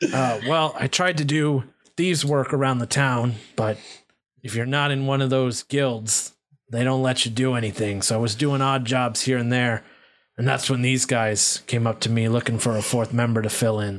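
A put-on character voice at a moderate pace in a very clean recording with a silent background. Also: man, medium pitch for a man. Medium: actual play. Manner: apologetic, hesitant.

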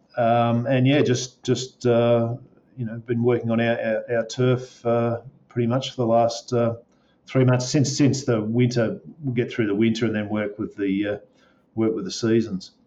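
With an Australian accent, the speaker keeps a moderate pace and fairly even intonation. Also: man, medium pitch for a man. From Melbourne, Australia. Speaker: golf course manager. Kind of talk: interview.

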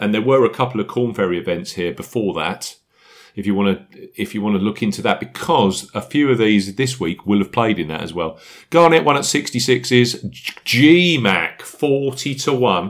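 The speaker has a London accent and talks at a moderate pace with lively intonation. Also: man, medium pitch for a man. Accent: English, likened to Michael Caine. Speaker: golf betting podcast host. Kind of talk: casual chat.

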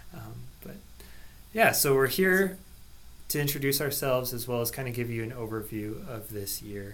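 An American-accented man at medium pitch talks at a moderate pace with ordinary pitch variation, big swings in loudness and long, frequent pauses. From Nebraska, US Midwest. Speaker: parish catechist. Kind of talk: casual podcast chat.

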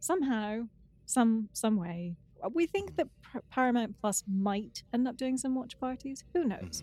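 Music plays in the background as a woman speaks at a moderate pace. Her fairly high voice carries lively intonation. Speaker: podcast co-host. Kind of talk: casual podcast chat, episode recap. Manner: playful, joking.

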